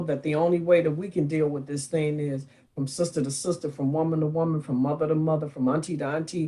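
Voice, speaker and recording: A woman's very deep, low-pitched voice in an animated tone at a fairly quick pace. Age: 60s. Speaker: talk show co-host. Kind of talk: talk show discussion.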